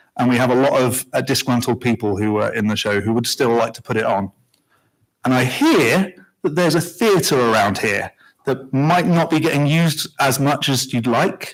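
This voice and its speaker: Over a silent background in a very clean recording, a man with a British accent talks at medium pitch and a moderate pace with lively intonation. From Britain. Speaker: community theater member. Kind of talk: public comment, unscripted. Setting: village council meeting.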